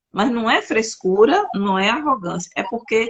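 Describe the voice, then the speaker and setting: This woman's somewhat breathy voice has lively intonation and moves at a moderate pace. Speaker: interviewer, talk show host. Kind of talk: interview conversation. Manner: halting, searching for words.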